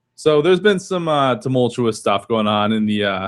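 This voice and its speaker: A plain, everyday voice speaks at a moderate pace with lively intonation. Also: man. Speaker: podcast host. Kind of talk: casual chat.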